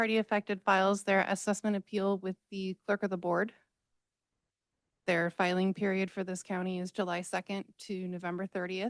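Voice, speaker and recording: Against a quiet background, a woman speaks at a moderate pace and medium pitch in a flat monotone, the sound dry and close with no echo. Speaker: county assessor's office staff presenting. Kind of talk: presentation to a public board meeting. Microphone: too far from the mic, hard to hear.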